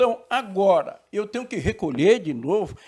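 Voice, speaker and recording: With very wide pitch swings, a man's high voice moves along at a moderate pace. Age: 70s. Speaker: retired talk show debater. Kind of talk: talk show debate.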